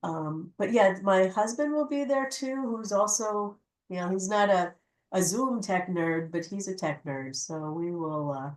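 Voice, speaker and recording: At a fairly slow pace, a woman speaks at a medium pitch with very wide pitch swings. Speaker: tech instructor. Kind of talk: online workshop talk. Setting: video call. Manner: informal, halting. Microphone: too quiet.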